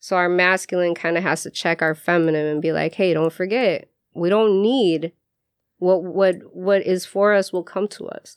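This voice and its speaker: A woman with an unremarkable speaking voice talks at a moderate pace and medium pitch with fairly even intonation over a quiet background. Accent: American. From Chicago. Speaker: spiritual practitioner and shop owner. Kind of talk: radio interview, casual conversation. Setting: radio studio.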